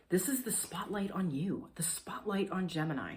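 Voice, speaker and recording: With audible room echo around her, a woman speaks in a somewhat breathy voice with lively intonation. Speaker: astrologer. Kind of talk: horoscope reading. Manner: casual, filler-heavy (like, um); animated.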